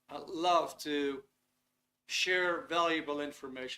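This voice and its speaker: Speaking at a fairly slow pace with a Dutch accent, a man has a high-pitched voice with a bright, sharp tone and ordinary pitch variation. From Netherlands. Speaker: webinar host. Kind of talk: online workshop presentation. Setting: video call webinar. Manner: casual, with fillers and hesitations. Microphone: laptop, sound echoey.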